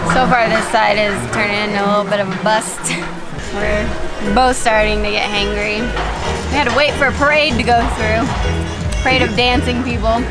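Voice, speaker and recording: Loud music plays in the background as a woman talks at a moderate pace. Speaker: travel vlogger. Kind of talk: casual vlog chat. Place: street. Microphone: phone near.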